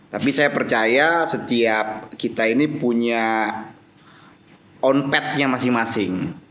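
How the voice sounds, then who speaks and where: Amid audible room echo, a man at a medium pitch speaks with very even loudness. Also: ordinary pitch variation. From Jakarta (South Jakarta, Betawi area). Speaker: business association official and company commissioner. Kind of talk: podcast interview. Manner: hesitant, many fillers.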